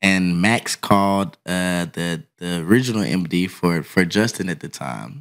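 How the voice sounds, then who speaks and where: A man with a very deep, low pitch and an American accent speaks at a fairly slow pace with hardly any pauses, lively intonation and big swings in loudness, on a very clean recording with a silent background. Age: 30s. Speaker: touring drummer. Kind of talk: casual chat. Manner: laughs often.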